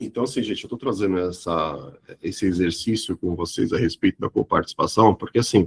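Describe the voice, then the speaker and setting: Recorded with a dry, close sound and no echo, a man speaks at a fairly low pitch and a fairly quick pace. His voice is somewhat breathy, with ordinary pitch variation. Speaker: insurance sales trainer. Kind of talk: live training webinar. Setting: online live stream. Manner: animated.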